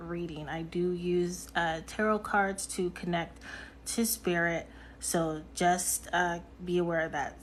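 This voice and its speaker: Very slowly and in a monotone, flat intonation, the voice comes through with audible room echo. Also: woman. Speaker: live-stream host, intuitive reader. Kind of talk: casual livestream talk. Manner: hesitant, many fillers.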